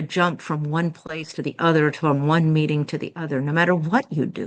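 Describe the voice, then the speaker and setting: A woman has an ordinary speaking voice, fairly low in pitch. She speaks at a moderate pace against a quiet background. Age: 60s. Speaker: integrative medicine physician. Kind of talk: podcast interview.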